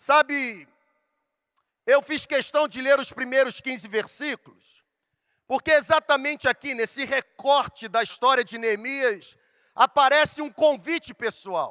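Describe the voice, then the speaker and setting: A man's raised, projected voice at an extremely high pitch, bright and sharp in tone, with ordinary pitch variation and a fairly slow pace, in a dry, close sound with no echo on a very clean recording with a silent background. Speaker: pastor. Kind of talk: sermon. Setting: stage with audience.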